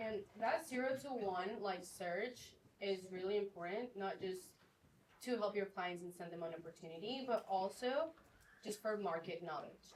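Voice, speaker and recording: A woman with a medium-pitched voice talks at a moderate pace, and her pitch varies in an ordinary way. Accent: non-native. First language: not English. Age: 20s. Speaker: real estate agent and land buyer. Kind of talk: panel discussion.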